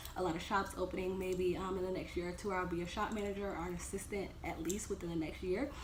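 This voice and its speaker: With fairly even intonation, a woman talks at a very fast pace amid audible room echo. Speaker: dental assistant vlogger. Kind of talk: casual Q&A vlog. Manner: hesitant, many ums.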